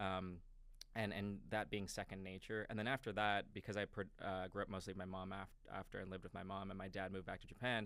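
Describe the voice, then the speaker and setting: A man with a New York accent talks at a very fast pace in a fairly low pitch, his intonation monotone and flat. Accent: New York American English. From New York, Westchester. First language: Japanese. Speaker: crypto company marketing executive. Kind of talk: podcast interview. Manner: casual, hesitant with fillers.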